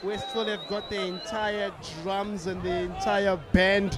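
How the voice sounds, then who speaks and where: This man has a high voice and speaks at a moderate pace in a monotone, flat way. The sound is dry with no echo, and background noise is noticeable. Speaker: sports commentator. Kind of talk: commentary.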